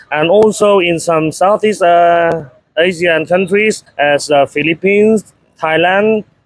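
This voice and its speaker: Speaking at a very slow pace, a man with a Vietnamese accent uses a high pitch and ordinary pitch variation. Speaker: interviewer. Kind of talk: interview. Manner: halting.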